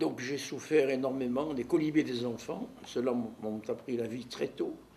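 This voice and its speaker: Against noticeable background noise, a man with a medium pitch talks at a fairly slow pace with fairly even intonation. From Marseille, southern France. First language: Neapolitan (speaking French). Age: 80s+. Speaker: neuropsychiatrist. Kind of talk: life story interview.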